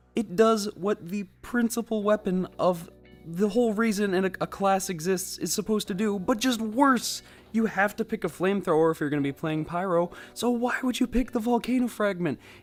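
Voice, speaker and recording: Moderate-paced speech over music in the background. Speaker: gaming commentator. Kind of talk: video game commentary. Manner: casual, ranting.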